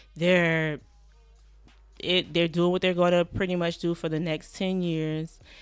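A woman with an American accent, fairly low in pitch, monotone and flat, at a fairly slow pace with long, frequent pauses, music in the background. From Savannah, Georgia (US South). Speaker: podcast producer and rapper. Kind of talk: casual interview.

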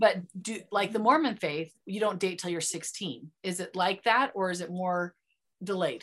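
In a plain, everyday voice, the speaker moves at a fairly slow pace with ordinary pitch variation, captured on a very clean recording with a silent background. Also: woman, medium pitch for a woman. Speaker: podcast host. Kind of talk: casual interview chat.

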